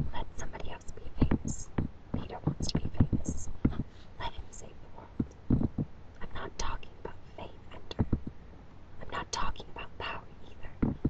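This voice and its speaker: Whispered words come at a moderate pace, broken by long, frequent pauses, with noticeable background noise. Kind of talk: audiobook reading, whispered.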